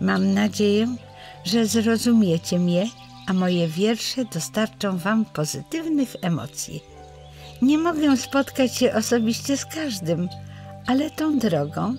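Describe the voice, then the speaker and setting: A woman's medium-pitched voice at a very slow pace, with very wide pitch swings and very even loudness, over music in the background. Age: 80s+. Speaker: poet. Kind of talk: personal life story told to camera.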